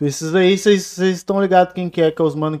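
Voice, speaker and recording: The pitch of this man's voice varies in an ordinary way. His tone is dark and mellow. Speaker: beatmaker. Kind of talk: casual chat.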